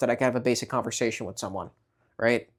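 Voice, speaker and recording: In a New York accent, a man talks on a very clean recording with a silent background. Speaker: vlogger. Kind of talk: casual vlog talk. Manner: hesitant, many fillers and repeats.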